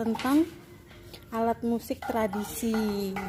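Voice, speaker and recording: A woman's very slow speech, fairly high in pitch, with fairly even intonation. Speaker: midwife vlogger. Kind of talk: casual vlog chat. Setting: arts studio with gamelan group.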